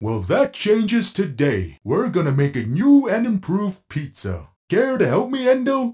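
A man's cartoonish character voice, high in pitch, at a moderate pace with hardly any pauses. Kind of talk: cartoon voice acting. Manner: cheerful, eager, friendly.

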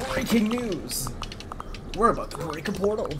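A put-on character voice with fairly high pitch goes at a moderate pace. Loud background noise runs underneath. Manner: news anchor delivery.

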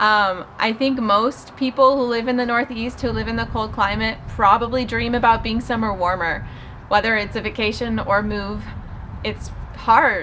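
Speaking with an American accent at a moderate pace, a woman uses a fairly high pitch and fairly even intonation over light background noise. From Southern California. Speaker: lifestyle vlogger. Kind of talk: casual vlog monologue. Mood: reflective, calm.

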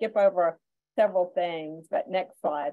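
At a moderate pace, a woman with a Southern US accent talks at medium pitch with ordinary pitch variation. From US South (Georgia). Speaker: school nutrition director; webinar presenter. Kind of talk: webinar presentation. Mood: warm, encouraging. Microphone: video call.

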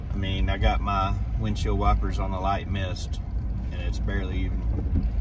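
A man's voice against noticeable background noise. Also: dry sound with no echo. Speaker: outdoors vlogger. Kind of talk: casual vlog chat. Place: car. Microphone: phone near.

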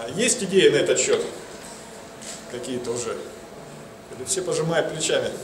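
A man talks at a moderate pace with long, frequent pauses over noticeable background noise. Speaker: investment consultant. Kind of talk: conference talk. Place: hall. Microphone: handheld.

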